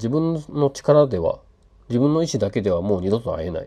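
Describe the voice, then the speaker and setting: A dark, mellow tone at a moderate pace, with very wide pitch swings. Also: man. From western Japan (Hyogo, later Fukuoka). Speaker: podcaster and hobby app developer. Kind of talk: casual late-night solo monologue. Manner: halting, many fillers and self-corrections; relaxed, laughing often.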